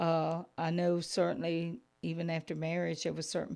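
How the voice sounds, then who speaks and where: Against a silent background in a very clean recording, a woman with a very deep, low pitch speaks at a fairly slow pace. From Georgia, US South. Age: 60s. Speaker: Sunday school teacher. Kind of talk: testimony.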